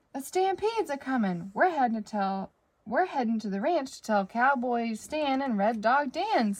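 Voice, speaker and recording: A high-pitched, put-on character voice from a woman, at a moderate pace. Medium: read story. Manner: excited, urgent.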